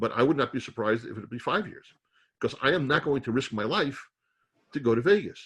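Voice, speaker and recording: At a fairly quick pace, the man talks with an American accent. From New York. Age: 60s. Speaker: real estate investor and organic chemist. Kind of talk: webinar talk. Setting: video call.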